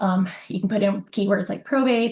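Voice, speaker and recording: A woman at medium pitch talks at a moderate pace, with vocal fry. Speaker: real estate agent. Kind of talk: webinar presentation. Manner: casual, with filler words.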